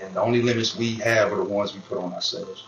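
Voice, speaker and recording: A man is talking. Behind him, the background noise is noticeable. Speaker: hip hop artist and producer. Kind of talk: recorded interview explaining lyrics.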